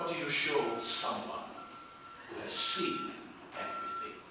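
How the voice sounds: In a put-on character voice, a man speaks at an extremely high pitch and a fairly slow pace, with very wide pitch swings. His tone is bright and sharp, and there is strong room echo.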